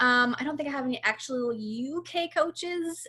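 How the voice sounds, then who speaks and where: Her voice is high-pitched with a bright, sharp tone and ordinary pitch variation. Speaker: fitness coach. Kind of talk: info session presentation. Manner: fast; animated.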